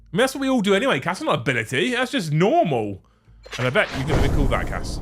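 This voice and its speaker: An animated man with a southern English accent, high-pitched, very fast, with very wide pitch swings, over music in the background. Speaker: livestream host, tabletop gaming youtuber. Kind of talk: casual livestream chat.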